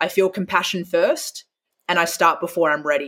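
With an Australian accent, a woman with a fairly low pitch speaks at a moderate pace and with fairly even intonation. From Western Australia, Perth. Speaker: speaker and author. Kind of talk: interview.

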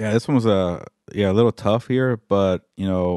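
Recorded dry and close with no echo, a man with an American accent speaks in a very deep, low pitch with a dark, mellow tone and ordinary pitch variation. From Pasadena, California. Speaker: football podcast co-host. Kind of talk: casual chat.

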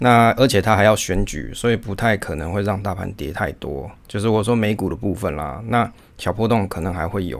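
A man with a Taiwanese accent talks at a fairly quick pace. His voice is fairly low-pitched and shows vocal fry. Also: ordinary pitch variation. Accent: Taiwanese Mandarin. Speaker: podcast host on investing. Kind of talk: casual solo podcast talk.

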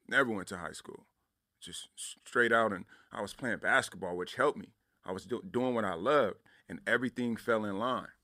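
A man with an American accent speaks at a fairly quick pace in medium pitch, using an ordinary speaking voice with lively intonation and big swings in loudness. The recording is very clean, with a silent background. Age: young. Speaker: professor. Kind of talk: testimony. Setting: studio.

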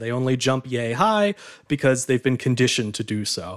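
With a normal speaking voice, a man talks at a moderate pace and medium pitch with lively intonation, in a dry, close sound with no echo and a very clean recording with a silent background. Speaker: guest expert on flea circuses. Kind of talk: casual chat.

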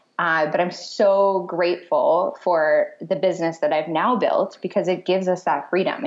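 A woman's fairly low pitch with lively intonation. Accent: American. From Michigan, US. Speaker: brand strategist. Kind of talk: interview. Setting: phone call.

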